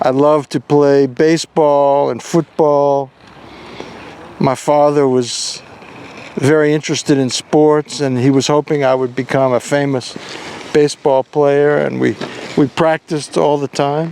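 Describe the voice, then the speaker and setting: In an American accent, a man with a fairly high pitch speaks fairly slowly in a monotone, flat intonation, the sound dry and close with no echo despite noticeable background noise. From US South, New Orleans, Louisiana. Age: 70s. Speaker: father recording memoirs. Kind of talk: casual personal reminiscence. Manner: halting.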